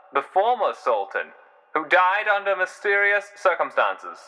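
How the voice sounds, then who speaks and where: A man speaks in a raised, projected voice with a high pitch and a bright, sharp tone. His pace is fairly slow, with ordinary pitch variation. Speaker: amateur narrator / hobbyist writer of a fictional world. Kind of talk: news broadcast narration. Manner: formal, newsreader delivery.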